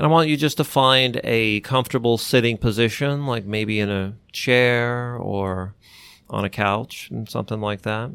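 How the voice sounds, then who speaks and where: The background is silent and the recording very clean. A man with an ordinary speaking voice talks at a medium pitch, with ordinary pitch variation. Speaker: clinical hypnotherapist and co-host. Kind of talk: guided relaxation exercise. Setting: podcast. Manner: slow, calm, soothing, instructing the listener step by step.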